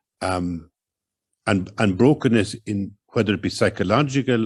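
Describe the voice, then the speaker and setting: Pausing long and often, a man with an Irish accent speaks at a fairly low pitch with ordinary pitch variation. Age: 60s. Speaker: writer. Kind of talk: public conversation.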